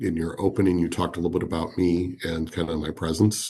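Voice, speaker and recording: A man with a very deep, low pitch and an American accent speaks at a fairly quick pace, somewhat breathy, over a quiet background. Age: 50s. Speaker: business leader. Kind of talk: podcast interview.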